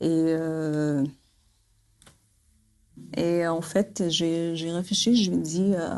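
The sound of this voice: A woman speaks at a very slow pace, low in pitch with little pitch movement. Her tone is slightly mellow.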